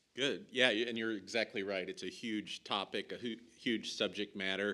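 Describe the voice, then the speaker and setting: With a Nebraskan accent, this man has a bright, sharp tone, fairly even intonation and a moderate pace. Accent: American, Nebraskan. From US Midwest, Nebraska. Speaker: industry panelist, logistics executive. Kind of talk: panel discussion.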